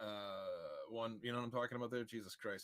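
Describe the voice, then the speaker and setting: Very clean with a silent background, the recording captures a man's bright, sharp tone. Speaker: livestream host. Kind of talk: casual livestream talk. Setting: livestream. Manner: halting.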